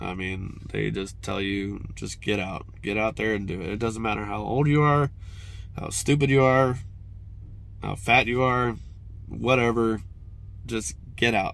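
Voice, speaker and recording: With a fairly low pitch and ordinary pitch variation, a man speaks at a fairly slow pace with long, frequent pauses. The room echo is audible. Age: 30s. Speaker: mountain biking vlogger. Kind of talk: casual vlog monologue. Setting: at work. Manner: halting, stuttering.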